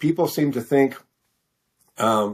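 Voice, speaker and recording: A man speaks with an American accent at a fairly slow pace. His pitch varies in an ordinary way. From Missouri, US Midwest. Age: 60s. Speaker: fiction author. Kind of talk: interview. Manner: halting, many fillers.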